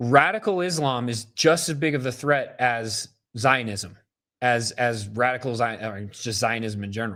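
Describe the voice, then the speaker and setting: This man has an American accent and a bright, sharp, animated tone, with medium pitch and ordinary pitch variation. He speaks at a moderate pace in a very clean recording with a silent background. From upstate New York. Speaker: political livestream host. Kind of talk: livestream commentary. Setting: live stream.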